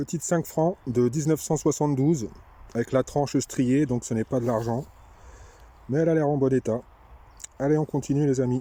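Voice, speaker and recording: A man talks at a moderate pace with a dark, mellow tone and fairly even intonation. His loudness stays very even, broken by long, frequent pauses. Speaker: metal detecting vlogger. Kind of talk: casual outdoor vlog commentary. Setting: outdoors.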